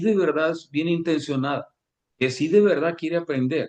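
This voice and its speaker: Pace is fairly quick for this man. His fairly high voice shows ordinary pitch variation. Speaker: Kabbalah teacher. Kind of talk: lecture. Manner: fast.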